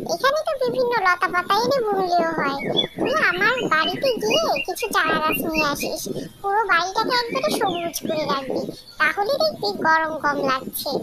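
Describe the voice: A cartoonish character voice squeaks at an extremely high pitch over loud background noise. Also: moderate pace.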